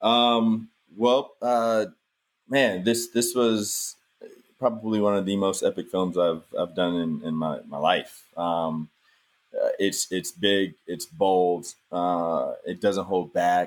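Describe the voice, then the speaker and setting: A man speaks in an American accent at a very slow pace. His pitch is fairly low, with ordinary variation. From US South. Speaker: actor. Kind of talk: casual interview.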